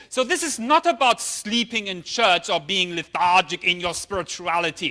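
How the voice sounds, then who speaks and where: A man with a German accent uses a raised, projected voice at a high pitch, his tone bright and sharp. He speaks at a moderate pace with lively intonation on a very clean recording with a silent background. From Germany. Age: 50s. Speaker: pastor. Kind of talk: sermon.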